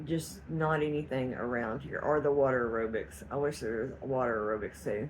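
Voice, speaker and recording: In a Southeast Texas accent, a woman with a very deep, low pitch talks at a moderate pace with lively intonation and hardly any pauses, amid audible room echo. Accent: Southeast Texas Southern US. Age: 50s. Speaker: cooking and weight-loss vlogger. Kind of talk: casual vlog update.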